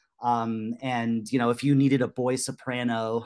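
A man's medium-pitched voice with an American accent, monotone and flat in intonation. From Maryland (Potomac). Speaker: composer, lyricist and playwright. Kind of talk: casual chat. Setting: remote call.

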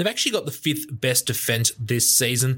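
With an Australian accent, the speaker's pitch varies in an ordinary way. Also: man. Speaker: podcast co-host. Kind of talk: casual sports chat.

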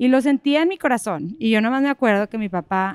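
A woman's fairly high-pitched, ordinary speaking voice at a moderate pace, on a very clean recording with a silent background. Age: 30s. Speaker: entrepreneur, salon owner and hairstylist. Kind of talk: live interview before an audience. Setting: stage with audience in a park.

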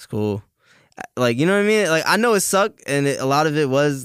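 A man with a New York accent talks at a very fast pace with lively intonation on a very clean recording with a silent background. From New York, Staten Island. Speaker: rapper. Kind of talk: casual chat.

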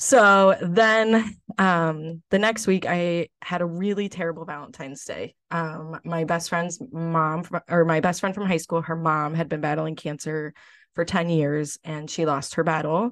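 A woman with an American accent in an ordinary speaking voice, fairly low pitch for a woman, ordinary pitch variation, a fairly slow pace with hardly any pauses, and a quiet background. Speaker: former pageant contestant. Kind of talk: casual interview.

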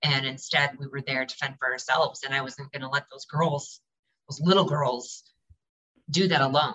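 With an American accent and a very deep, low pitch, a woman speaks at a moderate pace, her intonation fairly even but her loudness swinging widely. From Michigan. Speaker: advocate for abuse survivors. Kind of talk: interview.

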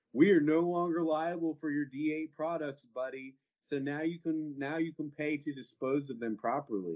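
A man with a Texan accent speaks at a moderate pace in a fairly high voice with fairly even intonation. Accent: Texan American. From Texas. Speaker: cannabis entrepreneur. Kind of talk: interview conversation.

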